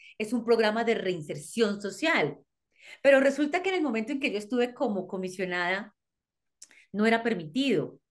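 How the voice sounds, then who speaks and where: A woman talks at a moderate pace with very wide pitch swings. The background is quiet. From Colombia. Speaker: criminologist and psychologist. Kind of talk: interview. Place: home room. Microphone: video call.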